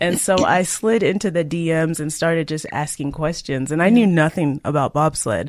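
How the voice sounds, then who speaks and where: Using a plain, everyday voice, a woman speaks at a moderate pace with ordinary pitch variation and hardly any pauses. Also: fairly low pitch for a woman. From Canada. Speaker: Olympic bobsled athlete. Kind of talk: interview.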